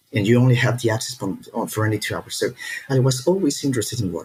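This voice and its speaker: A man at a very fast pace, medium in pitch with ordinary pitch variation, with a Spanish accent. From Peru. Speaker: startup founder, engineer. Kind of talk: podcast interview.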